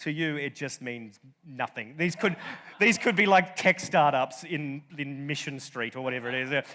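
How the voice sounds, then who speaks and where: At a moderate pace, a man with a fairly high voice and an Australian accent talks with lively intonation. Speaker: comedian and journalist. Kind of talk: conference talk. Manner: halting.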